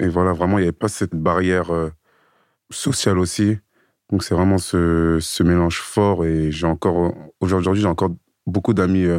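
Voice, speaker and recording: Speaking at a moderate pace, a man uses long, frequent pauses. His very deep, low voice comes through a very clean recording with a silent background. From Paris suburbs (Seine-Saint-Denis). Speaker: fitness coach. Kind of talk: casual interview. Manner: halting, word repetitions.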